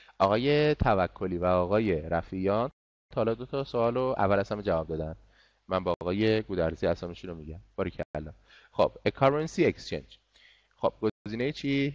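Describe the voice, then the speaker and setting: A man at a moderate pace, with lively intonation and long, frequent pauses. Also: fairly low pitch for a man. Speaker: English teacher. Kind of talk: online class lesson. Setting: online class.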